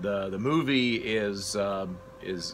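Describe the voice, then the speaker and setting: A man speaks with lively intonation over light background noise. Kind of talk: casual vlog chat. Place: workshop.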